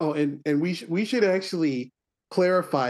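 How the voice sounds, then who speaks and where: A man with a normal speaking voice, ordinary pitch variation and a fairly slow pace. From US Midwest, Milwaukee. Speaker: podcast host. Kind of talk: casual chat.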